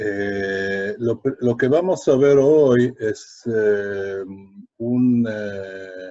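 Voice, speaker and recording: A man's medium-pitched voice with a dark, mellow tone and ordinary pitch variation. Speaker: lecturer, educator. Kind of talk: online lecture. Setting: live online webinar. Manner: halting, many fillers.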